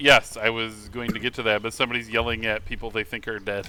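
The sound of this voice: Lively intonation shapes the delivery of an unforced reading voice.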